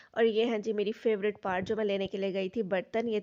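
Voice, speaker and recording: A woman speaks at a fairly quick pace in a medium pitch. Her intonation is monotone and flat. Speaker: vlogger. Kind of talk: casual vlog narration.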